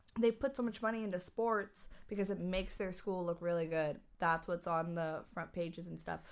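A woman with a plain, everyday voice talks at a moderate pace with hardly any pauses. Her pitch is medium and varies in an ordinary way. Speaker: podcast co-host. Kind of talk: casual chat.

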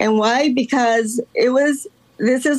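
A woman's speech, fairly slow and with ordinary pitch variation, comes through noticeable background noise. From Los Angeles, raised from age 10; born in Guatemala. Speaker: artist. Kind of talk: casual interview.

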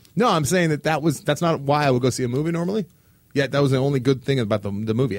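A man speaks at a very fast pace. His medium pitch shows ordinary pitch variation. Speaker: podcast host. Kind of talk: casual chat.

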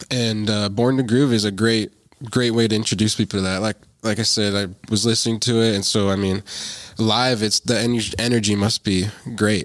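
Here a man speaks in a fairly low pitch with monotone, flat intonation. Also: moderate pace, very clean recording, silent background. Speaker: podcast interviewer. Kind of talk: casual interview.

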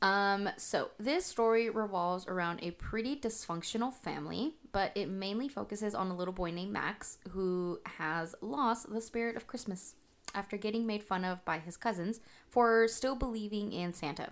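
A woman with an unremarkable speaking voice, medium in pitch, at a moderate pace with ordinary pitch variation. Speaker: podcast co-host. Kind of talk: casual chat.

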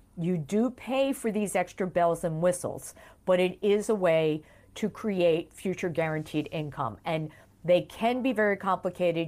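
On a very clean recording with a silent background, an unremarkable speaking voice proceeds fairly slowly, its pitch varying in an ordinary way. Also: woman. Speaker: retirement benefits expert. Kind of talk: interview.

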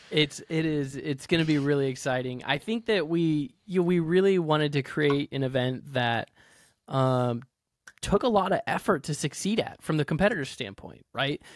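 This man has a normal speaking voice, pitched fairly high, with ordinary pitch variation and a moderate pace. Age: 30s. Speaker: podcast co-host. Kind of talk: casual chat.

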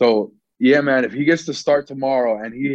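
A man with an animated tone, medium pitch, and moderate pace. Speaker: football podcast co-host, Chelsea fan. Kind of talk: casual sports chat. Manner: excitable, animated.

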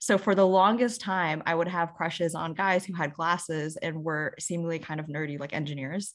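Speaking with an American accent, a woman in a plain, everyday voice keeps a moderate pace with hardly any pauses and ordinary pitch variation on a very clean recording with a silent background. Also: fairly low pitch for a woman. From Houston, Texas. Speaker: podcast co-host, tech sales worker. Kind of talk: casual chat.

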